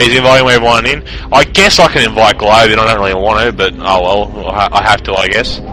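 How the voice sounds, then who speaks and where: With an Australian accent, a man speaks very fast in a fairly low voice with ordinary pitch variation, music playing in the background. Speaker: esports shoutcaster. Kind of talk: live commentary. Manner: loud.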